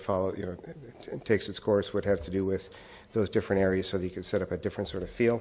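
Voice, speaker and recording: A man talks at a very fast pace in a fairly low voice. His tone is dark and mellow. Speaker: city project manager. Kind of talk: committee presentation. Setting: city council committee meeting.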